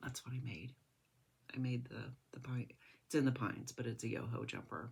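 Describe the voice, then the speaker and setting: A woman's very deep, low voice with vocal fry, fairly even intonation and a moderate pace. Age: old. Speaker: knitting podcaster. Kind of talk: casual chat. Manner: halting.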